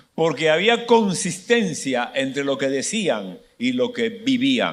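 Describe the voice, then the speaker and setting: Speaking at a very slow pace, a man uses a fairly high pitch. His voice makes very wide pitch swings. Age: 70s. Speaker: pastor. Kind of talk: sermon.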